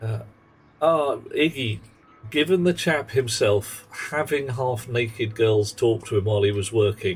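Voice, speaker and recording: With music in the background, a man in a London accent speaks at a fairly slow pace with ordinary pitch variation. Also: medium pitch for a man. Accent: southern English, London. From South London, England. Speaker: video game streamer. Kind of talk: casual live-stream chat while gaming. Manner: animated.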